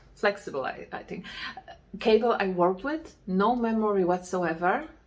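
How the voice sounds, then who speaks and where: The woman's medium-pitched voice moves at a moderate pace with big swings in loudness. Noticeable background noise sits behind her. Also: lively intonation. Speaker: knitting podcaster. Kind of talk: casual chat. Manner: halting.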